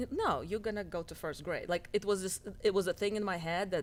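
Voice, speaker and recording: A woman speaks with a Russian accent. Her pace is fairly quick. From Russia, near Moscow. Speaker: doctor and healthcare business owner. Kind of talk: interview.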